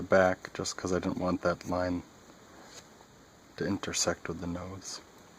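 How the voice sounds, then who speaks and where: A soft-spoken man talks in a very deep, low voice. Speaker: artist demonstrating drawing. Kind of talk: tutorial. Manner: halting, self-correcting.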